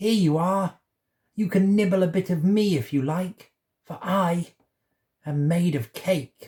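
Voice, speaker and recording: A man speaks at a fairly slow pace in a put-on character voice, pitched high, with long, frequent pauses. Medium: read story.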